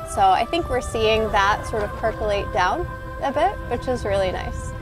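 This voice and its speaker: A woman's voice sounds dry with no echo, while music plays clearly in the background. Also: moderate pace. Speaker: sea kayak coach. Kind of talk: interview answer. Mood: warm, upbeat, encouraging. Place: waterside. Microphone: lapel.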